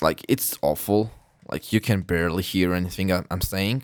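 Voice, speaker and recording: On a very clean recording with a silent background, a man with a non-native accent speaks in a very deep, low pitch. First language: not English. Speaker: gaming youtuber. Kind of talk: gameplay commentary. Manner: halting. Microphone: close to the mic, loud, breath and lip smacks.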